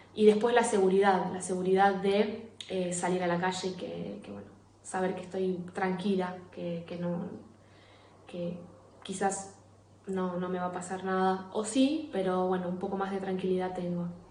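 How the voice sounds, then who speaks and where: A woman's medium-pitched voice with big swings in loudness, audible room echo and noticeable background noise. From Argentina, Rosario. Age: 20s. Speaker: emigrant sharing her experience. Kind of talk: recorded testimony. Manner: hesitant, many fillers and repeats.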